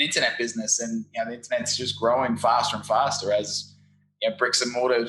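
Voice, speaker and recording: A man with an Australian accent, with music in the background. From Australia, Brisbane. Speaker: SEO agency founder. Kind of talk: interview. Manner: animated.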